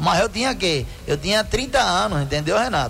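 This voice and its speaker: A man at a fairly quick pace, pitch swinging very widely, noticeable background noise. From Cuba. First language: Spanish (speaking Portuguese). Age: 50s. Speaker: doctor and dermatologist. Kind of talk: radio health advice segment. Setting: radio studio.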